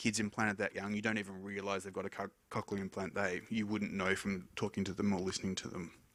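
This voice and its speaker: This man talks at a very fast pace in a fairly low pitch with a bright, sharp tone, captured on a very clean recording against a silent background. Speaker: hearing scientist. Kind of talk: conference talk. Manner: mumbles a little.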